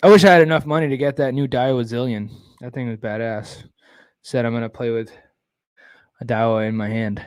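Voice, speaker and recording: Mumbling at a fairly quick pace, a man speaks at a medium pitch with ordinary pitch variation, big swings in loudness and long, frequent pauses. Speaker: live-stream host, kayak bass fisherman. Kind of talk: casual live-stream chat.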